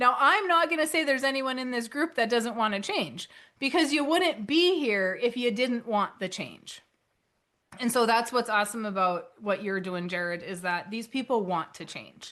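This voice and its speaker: A loud woman's voice, bright and sharp, fairly high-pitched and animated, with very wide pitch swings at a moderate pace over a quiet background. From North Dakota. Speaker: author and financial educator. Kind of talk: webinar presentation.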